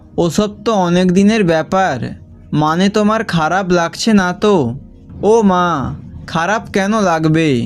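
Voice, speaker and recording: Music plays in the background. A man speaks at a high pitch. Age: 20s. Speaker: amateur storyteller. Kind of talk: read short story with dialogue.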